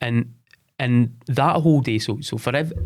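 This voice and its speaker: A man speaks in a Scottish accent with a dark, mellow tone and ordinary pitch variation. The recording is very clean, with a silent background. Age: 40s. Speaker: sports development head. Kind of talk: interview. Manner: halting.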